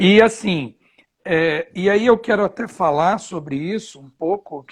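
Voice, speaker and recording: A man at a very slow pace, with lively intonation. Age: 30s. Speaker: pastor. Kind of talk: interview in a live stream. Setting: live stream during quarantine.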